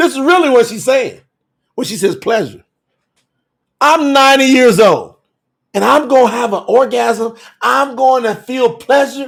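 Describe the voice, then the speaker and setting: Extremely high in pitch, a man speaks with an animated tone and ordinary pitch variation. He goes at a fairly slow pace with long, frequent pauses. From Kentucky. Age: 50s. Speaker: bible teacher. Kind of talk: live-streamed bible teaching.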